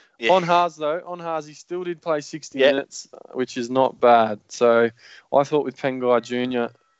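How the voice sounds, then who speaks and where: A man with a fairly high pitch speaks at a moderate pace, with ordinary pitch variation and big swings in loudness. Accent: Australian. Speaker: fantasy sports podcast host. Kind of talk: casual chat. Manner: animated.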